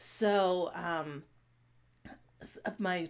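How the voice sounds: A woman speaks with a fairly bright tone. Her pitch varies in an ordinary way.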